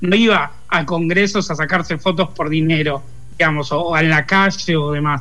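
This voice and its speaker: A man with a fairly high pitch and a bright, sharp tone talks at a moderate pace, his intonation fairly even and his loudness very even, with audible room echo. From Argentina, Lanús (Buenos Aires province). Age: 40s. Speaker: pop culture commentator. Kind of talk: interview. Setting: remote call.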